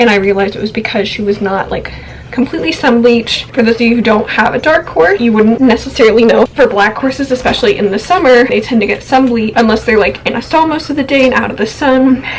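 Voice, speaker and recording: Against noticeable background noise, a woman talks at a very fast pace with hardly any pauses, her fairly high voice showing ordinary pitch variation. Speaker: horse owner vlogger. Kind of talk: casual vlog.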